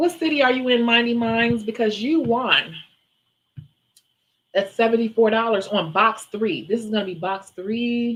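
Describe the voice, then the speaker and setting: Using a normal speaking voice, a woman talks at a moderate pace. Her pitch is fairly high, with ordinary pitch variation. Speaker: nail and makeup livestream seller. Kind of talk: live auction stream.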